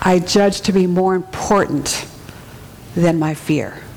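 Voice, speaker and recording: A woman at medium pitch, talking at a fairly slow pace over noticeable background noise. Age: 40s. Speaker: preacher. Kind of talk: sermon.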